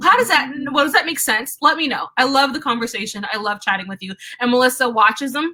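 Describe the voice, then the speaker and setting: A woman speaks in a raised, projected voice at a very fast pace with a high pitch. Her intonation is lively, and her loudness swings widely. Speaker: tarot reader. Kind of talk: live stream chat.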